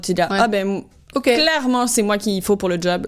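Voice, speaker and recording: Speaking at a fairly quick pace with ordinary pitch variation, this voice carries a slight Québécois accent. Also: woman. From Quebec, Canada. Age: 30s. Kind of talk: podcast interview answer. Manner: casual, hesitant.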